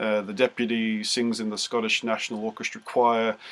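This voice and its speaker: A man with an Australian accent speaks at a moderate pace and a medium pitch. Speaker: music teacher. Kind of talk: interview. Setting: video call.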